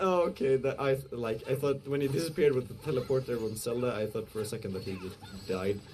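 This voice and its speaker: Against noticeable background noise, a man races along at a very fast pace with lively intonation. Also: medium pitch for a man. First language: not English. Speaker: esports commentator. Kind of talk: live commentary. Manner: halting; animated.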